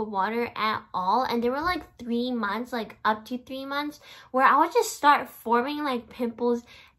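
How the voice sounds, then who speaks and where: A woman talks at a moderate pace with a high pitch and ordinary pitch variation. The background is quiet. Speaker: vlogger. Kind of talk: casual vlog chat. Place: home room. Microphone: phone near.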